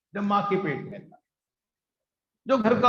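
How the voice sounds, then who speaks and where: A high-pitched male voice with audible room echo. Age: 60s. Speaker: satsang preacher. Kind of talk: sermon. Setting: gathering with live audience, also streamed online.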